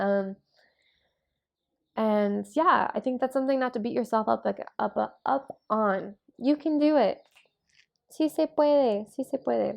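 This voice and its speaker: A woman with a western American accent speaks at a fairly slow pace, leaving long, frequent pauses. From Utah, US. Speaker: vlogger. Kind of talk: casual talk to camera. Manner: hesitant, many fillers.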